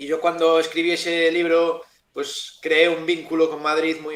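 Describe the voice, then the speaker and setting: A man's voice with a fairly high pitch. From Galicia, Spain (Ferrol). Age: 30s. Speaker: novelist. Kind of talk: interview.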